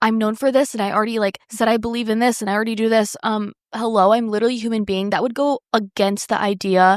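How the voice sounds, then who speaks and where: In a very clean recording with a silent background and a dry, close sound with no echo, a woman speaks fairly quickly at a fairly high pitch with ordinary pitch variation. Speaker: podcast co-host. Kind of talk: casual chat. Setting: recording at home. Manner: fast.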